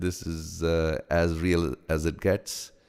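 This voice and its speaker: A man with an American accent speaks at a very deep, low pitch and a very slow pace. The recording is very clean, with a silent background. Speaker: meditation teacher and kirtan singer. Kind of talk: live stream chat with viewers. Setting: home studio live stream. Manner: halting, many fillers.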